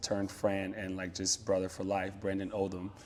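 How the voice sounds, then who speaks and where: A man talks in a fairly low pitch. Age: 30s. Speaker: tech product lead. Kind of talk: interview conversation. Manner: loud.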